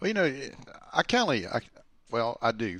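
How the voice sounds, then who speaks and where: The voice has a bright, sharp tone and a strong Southern US accent. The background is quiet. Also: man. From US South, Alabama. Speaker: former sprint car driver, racing commentator. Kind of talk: casual chat.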